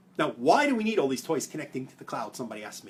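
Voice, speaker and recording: Very wide pitch swings mark this voice with an American accent, heard over noticeable background noise. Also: man. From New York (Brooklyn). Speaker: privacy policy expert. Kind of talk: explainer video. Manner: fast.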